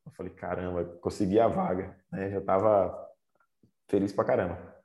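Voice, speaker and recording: With a fairly low pitch and a dark, mellow tone, a man talks at a moderate pace with fairly even intonation. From Northeast Brazil, raised in Aracaju, Sergipe. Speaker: Olympic cyclist. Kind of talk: casual interview.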